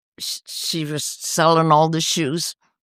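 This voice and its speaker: Recorded very cleanly against total silence, the voice is dry and close with no echo and moves at a fairly slow pace. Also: woman. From Sicily, Italy. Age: 90s. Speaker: retired resident. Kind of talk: casual interview. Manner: halting; animated.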